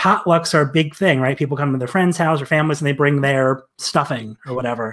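Over a quiet background, a man talks at a very fast pace with ordinary pitch variation. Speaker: guest. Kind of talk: interview answer.

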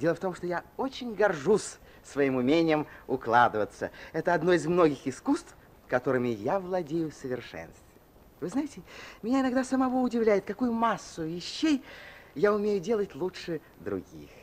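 A man's high voice with very wide pitch swings, at a moderate pace. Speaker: actor. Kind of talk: radio drama narration. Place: studio. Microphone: old recording.

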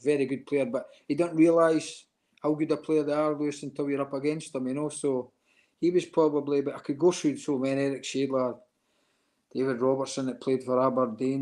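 A flat, monotone voice with an Edinburgh accent speaks at a fairly quick pace over a quiet background. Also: man. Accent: Edinburgh Scottish. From Scotland, Edinburgh; Scotland. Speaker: retired footballer; interview guest. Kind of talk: interview. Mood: warm, nostalgic. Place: home room. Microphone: video call.

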